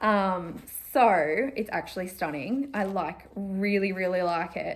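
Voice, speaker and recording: A woman with an Australian accent, medium pitch, ordinary pitch variation and a fairly slow pace. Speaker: cross-stitch vlogger. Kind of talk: casual vlog chat. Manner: filler-heavy, chatty.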